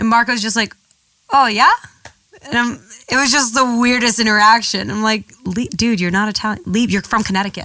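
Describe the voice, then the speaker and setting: In a New York accent, the speaker goes at a fairly quick pace with an animated tone, ordinary pitch variation, and long, frequent pauses. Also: woman, fairly high pitch for a woman. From US Northeast, New York City. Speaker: model. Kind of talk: casual chat.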